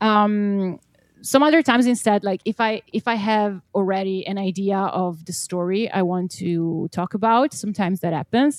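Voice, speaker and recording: With an Italian accent, a woman speaks at a medium pitch and a moderate pace, using ordinary pitch variation. The recording is dry and close, with no echo. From Italy. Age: 20s. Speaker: singer-songwriter. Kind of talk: casual chat.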